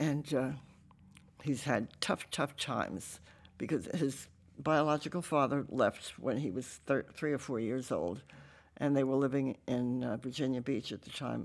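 On a very clean recording with a silent background, a woman with a very deep, low pitch speaks at a fairly slow pace with ordinary pitch variation. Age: 90s. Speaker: church member and volunteer. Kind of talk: casual interview, testimony.

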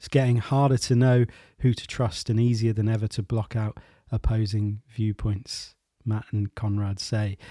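A man with a medium pitch uses an ordinary speaking voice, moderate pace and fairly even intonation. The recording is very clean, with a silent background. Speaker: podcast host and creativity coach. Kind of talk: interview podcast with scripted intro. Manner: gentle, reflective.

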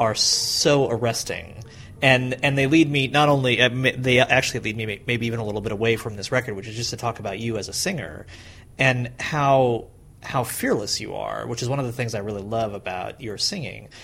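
This man has an ordinary speaking voice, with a medium pitch and ordinary pitch variation. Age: 30s. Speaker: podcast host. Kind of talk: interview.

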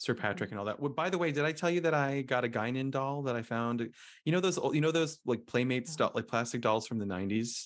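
A man with a Philadelphia accent talks very fast with ordinary pitch variation, on a very clean recording with a silent background. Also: medium pitch for a man. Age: 40s. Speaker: podcast host. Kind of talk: casual chat. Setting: Philadelphia during tornado warning.

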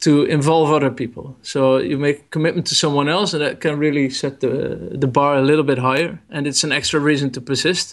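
A man with a Dutch accent talks at a fairly quick pace with hardly any pauses. His pitch is fairly high, and his intonation is fairly even. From Netherlands. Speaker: photographer. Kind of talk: interview. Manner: halting.

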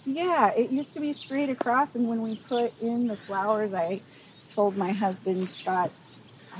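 A woman with an American accent talks at a moderate pace in a high voice with lively intonation, over noticeable background noise. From Walla Walla Valley, eastern Washington/Oregon, US. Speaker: flower farmer. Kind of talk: casual interview. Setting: outdoors on a flower farm.

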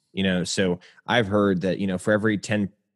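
Over a quiet background, a man talks at a fairly quick pace in a very deep, low pitch with fairly even intonation and a dry, close sound with no echo. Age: 30s. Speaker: pastor. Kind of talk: casual chat.

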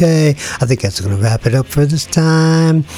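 A man with a fairly high pitch and an American accent at a moderate pace, music in the background. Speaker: radio host. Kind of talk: radio DJ patter, casual. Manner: laid-back, chatty, slangy.

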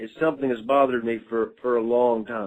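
Speaking at a moderate pace, a man with an American accent has a medium pitch. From Mississippi. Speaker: listener caller. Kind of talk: voicemail message. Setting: phone voicemail.

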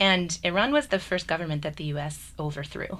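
With an American accent, a woman with a very deep, low pitch and vocal fry speaks in fairly even intonation. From US. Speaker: university program director. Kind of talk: radio panel discussion. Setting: studio.

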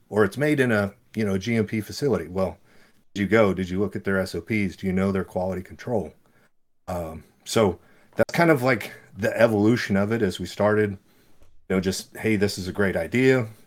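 The man's pitch is fairly low, with ordinary pitch variation. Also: fairly quick pace. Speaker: supplement brand owner. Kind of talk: casual interview. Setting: video call. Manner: soft-spoken.

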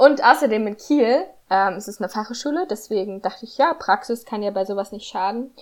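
A woman talks in an unremarkable speaking voice at a fairly high pitch and a fairly quick pace. Her intonation is lively, and her loudness swings widely. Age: 20s. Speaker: student podcaster. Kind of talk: casual chat.

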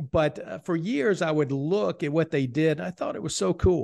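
Against a quiet background, a man with a plain, everyday voice speaks at a fairly high pitch with lively intonation. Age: 50s. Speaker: financial advisor. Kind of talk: interview.

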